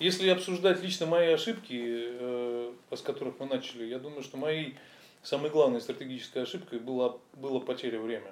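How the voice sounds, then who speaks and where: A man with a fairly high voice talks at a fairly quick clip, his intonation lively and his loudness swinging widely, broken by long, frequent pauses. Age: 40s. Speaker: fitness business owner. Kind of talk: interview.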